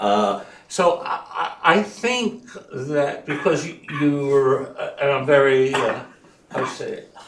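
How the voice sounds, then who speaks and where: With audible room echo, a man at a fairly high pitch makes very wide pitch swings and big swings in loudness, pausing long and often. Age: 70s. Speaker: audience member asking a question. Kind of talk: audience Q&A comment. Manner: halting, many fillers.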